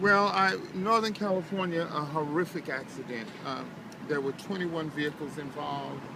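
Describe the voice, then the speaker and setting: A man speaks with ordinary pitch variation amid audible room echo and noticeable background noise. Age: 70s. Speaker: homeless man in a wheelchair. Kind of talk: casual chat. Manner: halting.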